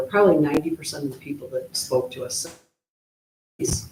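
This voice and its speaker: A man speaks in a somewhat breathy voice. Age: 60s. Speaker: city commissioner. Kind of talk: public meeting remarks. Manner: halting.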